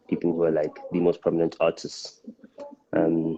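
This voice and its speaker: A man with a South African accent, in a dry, close sound with no echo. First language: Xitsonga. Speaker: rapper and live streamer. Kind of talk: casual live stream talk. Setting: live stream. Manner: halting, many fillers.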